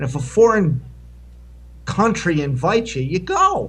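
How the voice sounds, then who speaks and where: Audible room echo surrounds the voice. It carries an American accent at a fairly slow pace. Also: man. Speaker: homeless advocate and video maker. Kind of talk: conference panel Q&A. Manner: loud.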